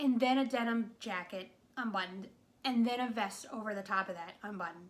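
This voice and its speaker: Speaking at a fairly quick pace with an American accent, a woman has a fairly high pitch and ordinary pitch variation. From New England. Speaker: movie reviewer. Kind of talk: casual video review monologue. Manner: casual, filler-heavy.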